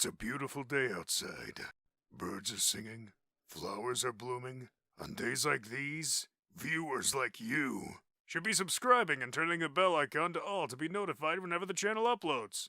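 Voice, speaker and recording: A man puts on a character voice with a fairly high pitch. He speaks at a moderate pace in a very clean recording with a silent background. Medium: voice reel. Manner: laid-back, chuckling.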